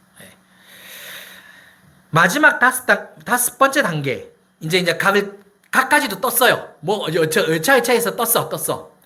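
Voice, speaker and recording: A man with a high pitch and a bright, sharp tone speaks in a raised, projected, animated voice with lively intonation, big swings in loudness, a fairly slow pace, and long, frequent pauses. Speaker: pastor. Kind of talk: sermon. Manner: animated, conversational with rhetorical questions.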